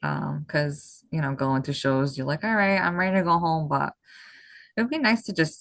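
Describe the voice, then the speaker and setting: A woman is speaking. The background is quiet. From Massachusetts, near Boston, Portuguese background. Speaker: bodybuilding competitor. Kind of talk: podcast interview.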